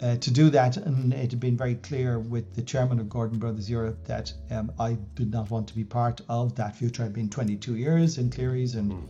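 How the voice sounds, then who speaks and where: An Irish accent, somewhat breathy and dark, mellow in tone, at a moderate pace with ordinary pitch variation and hardly any pauses. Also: man, medium pitch for a man. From Ireland, West Wicklow. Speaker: business coach and former CEO. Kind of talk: interview. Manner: calm; halting.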